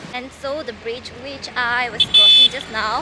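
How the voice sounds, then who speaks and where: This clip features a woman talking. Noticeable background noise can be heard. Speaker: travel vlogger. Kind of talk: travel vlog narration. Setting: outdoors.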